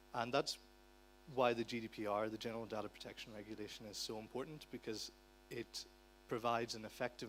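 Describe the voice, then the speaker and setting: A man's medium-pitched voice with an Irish accent, flat and monotone, with vocal fry and a fairly quick pace. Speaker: conference speaker on digital rights. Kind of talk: conference talk. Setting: conference hall with interpreters.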